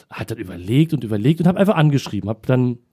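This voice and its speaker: The tone is dark and mellow, carried by lively intonation. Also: man. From Berlin. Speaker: musician and online talk show host. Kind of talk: casual interview.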